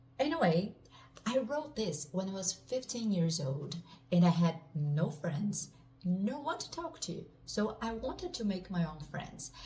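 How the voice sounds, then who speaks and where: Speaking in a Portuguese accent at a fairly slow pace, a woman uses a medium pitch with very wide pitch swings. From Brazil. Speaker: author. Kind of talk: casual self-introduction and book overview.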